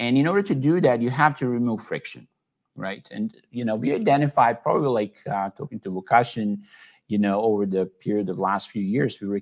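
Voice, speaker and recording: Speaking at a fairly quick pace, a man with a slight Serbian accent keeps a medium pitch and lively intonation. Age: 40s. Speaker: tech entrepreneur. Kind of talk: online talk / presentation. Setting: office in Belgrade, online event. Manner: many filler words (uh, you know).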